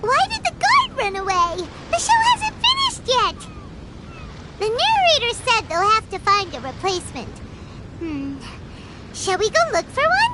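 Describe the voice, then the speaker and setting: Amid loud background noise, a put-on character voice at an extremely high pitch moves at a moderate pace with long, frequent pauses. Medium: video game. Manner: lively, coaxing.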